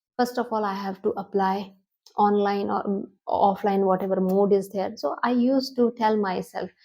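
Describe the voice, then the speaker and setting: A woman with an Indian accent and a medium pitch speaks in a dark, mellow tone with fairly even intonation. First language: Hindi. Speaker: English teacher on video channel. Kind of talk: tutorial. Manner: halting.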